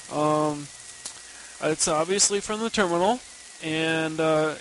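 A man talks at a fairly slow pace with fairly even intonation. Noticeable background noise sits under his voice. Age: 30s. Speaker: listener and Linux student. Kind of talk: recorded listener tip.

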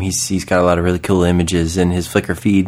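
Very deep and low, a man's voice moves at a fairly quick pace on a very clean recording with a silent background. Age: 30s. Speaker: podcast host. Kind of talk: casual chat.

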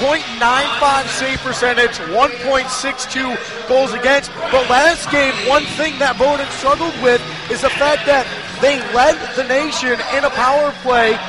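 Music in the background behind a man's extremely high-pitched, raised and projected voice, very slow and monotone with flat intonation. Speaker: color commentator. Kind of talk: live hockey color commentary. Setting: broadcast booth at ice arena.

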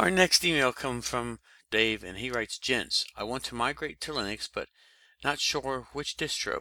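In a very clean recording with a silent background, a man with an American accent talks at a moderate pace and medium pitch, with a bright, sharp tone and ordinary pitch variation. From US East Coast. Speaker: podcast co-host. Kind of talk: casual podcast discussion.

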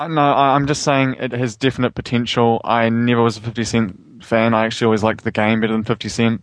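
Against a quiet background, a man speaks quickly with hardly any pauses in an ordinary speaking voice. His pitch is medium, his intonation fairly even and his loudness very even. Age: 20s. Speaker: podcast co-host. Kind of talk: casual chat.

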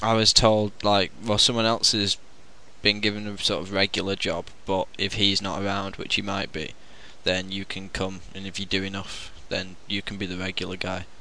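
A man talks with a bright, sharp tone at a fairly low pitch. His pace is moderate and his intonation monotone and flat. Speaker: podcast host. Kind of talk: casual chat.

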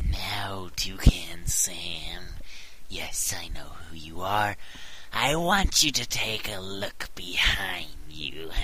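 A man whispers in a put-on character voice. He talks at a very slow pace over clear background noise. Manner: gloating, menacing.

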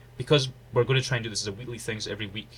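Booming and bright with a sharp tone, a man's voice stays monotone and flat. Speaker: podcast co-host.

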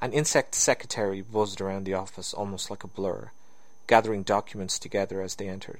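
The text is read out in a natural voice.

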